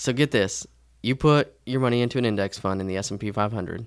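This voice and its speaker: A man speaks fairly quickly in an ordinary speaking voice, fairly low in pitch with ordinary pitch variation, on a very clean recording with a silent background. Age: 20s. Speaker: tax and personal finance expert. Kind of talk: casual chat.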